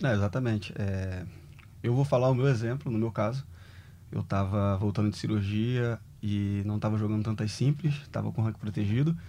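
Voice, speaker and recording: Pitch varies in an ordinary way, and the tone is dark and mellow. Delivery moves at a moderate pace. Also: man, fairly low pitch for a man. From Brazil, Rio de Janeiro (Rocinha). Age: 30s. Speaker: former professional tennis player. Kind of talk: casual interview chat.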